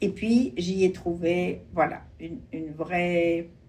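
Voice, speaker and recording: Very slowly, a woman speaks in a fairly low voice. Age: 70s. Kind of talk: interview answer.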